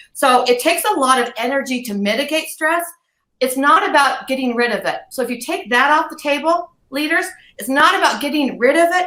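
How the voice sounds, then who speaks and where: A woman speaks in a raised, projected voice at a high pitch and a fairly quick pace. Her tone is animated, bright and sharp. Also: ordinary pitch variation. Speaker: leadership coach. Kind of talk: live webinar talk. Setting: livestream. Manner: fast.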